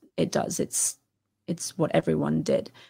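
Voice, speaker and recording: In a British accent, a woman talks at a moderate pace, recorded with a dry, close sound and no echo. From England. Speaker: Assyriologist and educational content creator. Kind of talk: casual interview conversation.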